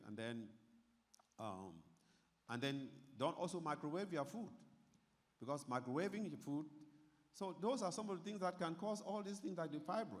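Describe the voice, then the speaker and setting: A man's pitch swings very widely. Audible echo from the room surrounds him. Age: 60s. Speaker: doctor giving health talk. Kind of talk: health talk to church audience. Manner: repetitive, halting.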